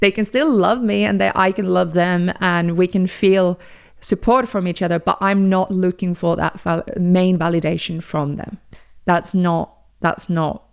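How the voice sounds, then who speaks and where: The recording is very clean with a silent background, and the speech shows ordinary pitch variation. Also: woman. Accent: Finnish. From Finland. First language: Finnish. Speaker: podcast host. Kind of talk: casual monologue. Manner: conversational, with fillers.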